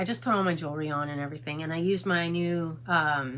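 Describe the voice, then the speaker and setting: A woman talks at a moderate pace with a fairly low pitch and ordinary pitch variation. Noticeable background noise is present. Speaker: beauty vlogger. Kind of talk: casual makeup tutorial vlog; casual vlog chat. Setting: in a car. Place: home room. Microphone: phone near.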